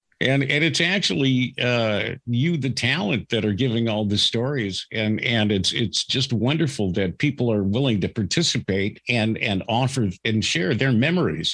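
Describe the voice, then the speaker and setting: A man with an ordinary speaking voice talks at medium pitch and a moderate pace, with hardly any pauses. His loudness stays very even over a quiet background. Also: lively intonation. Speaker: podcast host, radio veteran. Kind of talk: interview host, casual conversational.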